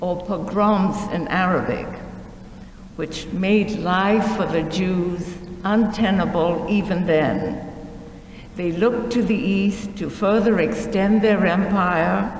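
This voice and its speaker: A woman speaks at a very slow pace with fairly even intonation. Audible room echo and noticeable background noise are present. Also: medium pitch for a woman. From Shanghai, China. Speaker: speaker sharing life story. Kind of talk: museum presentation. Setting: museum talk with audience.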